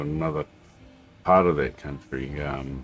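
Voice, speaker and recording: Music plays in the background. A man with a New Zealand accent speaks with fairly even intonation. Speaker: flight sim streamer. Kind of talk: casual livestream chat. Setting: home, at a computer. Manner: halting, many fillers.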